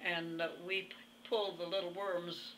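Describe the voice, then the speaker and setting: A woman speaks at a fairly slow pace with fairly low pitch and fairly even intonation. There is audible room echo around her. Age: 80s+. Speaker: centenarian interviewee. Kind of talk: interview. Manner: halting.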